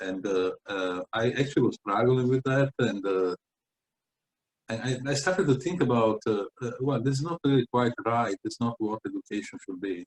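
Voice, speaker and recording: A man with an Italian accent talks at medium pitch and a moderate pace with lively intonation, in a dry, close sound with no echo. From Italy (Venice). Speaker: founder of an educational project. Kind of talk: interview. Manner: halting, many fillers.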